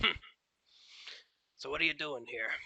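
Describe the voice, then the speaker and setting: A man puts on a character voice pitched fairly high. It comes out gruff and raspy. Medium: actual play. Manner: gruff, curt, dismissive.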